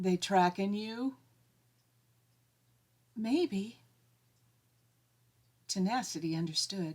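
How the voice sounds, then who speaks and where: Speaking at a very slow pace, a woman uses lively intonation. Her medium-pitched voice is somewhat breathy. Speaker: author reading own story. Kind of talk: audiobook fiction reading.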